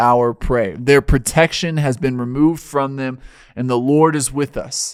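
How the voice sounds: Natural-sounding reading aloud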